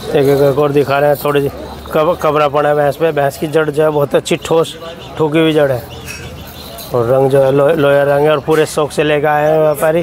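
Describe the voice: With faint background noise, a man speaks at a fairly quick pace and fairly high pitch, with little pitch movement and a slightly mellow tone.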